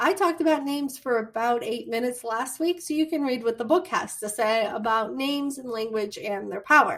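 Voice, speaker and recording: In a Midwestern American accent, a woman speaks at a moderate pace in a high pitch with lively intonation. The recording is very clean, with a silent background. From US Midwest. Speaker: college instructor. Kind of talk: lecture.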